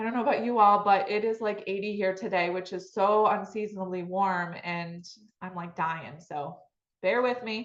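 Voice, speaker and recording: A woman with an American accent has a normal speaking voice at medium pitch. She speaks at a moderate pace with fairly even intonation. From Michigan, US Midwest. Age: 40s. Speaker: real estate agent. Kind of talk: webinar presentation.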